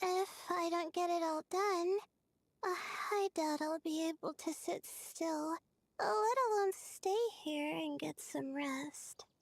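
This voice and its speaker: A woman uses a put-on character voice at an extremely high pitch, with ordinary pitch variation. She goes at a fairly slow pace, and the sound is dry and close with no echo. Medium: video game. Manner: hesitant, many filler sounds.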